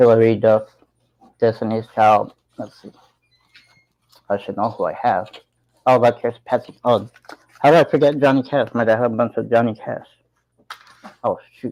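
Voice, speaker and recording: Speaking at a medium pitch and a moderate pace, a man with an American accent keeps his intonation fairly even while his loudness swings widely and he pauses long and often. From Tucson, Arizona. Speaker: live-stream vlogger. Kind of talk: casual live chat.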